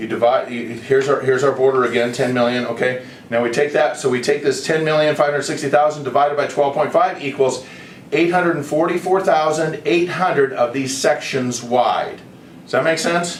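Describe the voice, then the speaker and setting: Amid noticeable background noise and audible room echo, a man with a fairly high pitch speaks fairly quickly with ordinary pitch variation. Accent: American. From United States. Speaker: online video creator pitching a proposal. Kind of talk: explanatory presentation. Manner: casual, halting with self-corrections.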